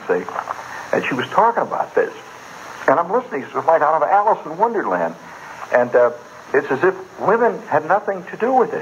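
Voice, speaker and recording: A man speaks with long, frequent pauses while noticeable background noise runs underneath. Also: fairly quick pace. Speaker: radio storyteller. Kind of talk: live radio monologue. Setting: radio studio. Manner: casual, conversational.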